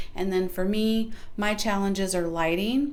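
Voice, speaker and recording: Moderate-paced speech from a woman, with audible room echo. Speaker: small YouTube creator. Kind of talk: casual vlog advice talk. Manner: soft-spoken.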